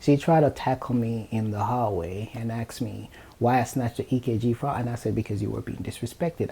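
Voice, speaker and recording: A man's medium-pitched, dark, mellow, somewhat breathy voice, with ordinary pitch variation and a fairly quick pace. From Jamaica. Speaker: nurse. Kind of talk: casual chat.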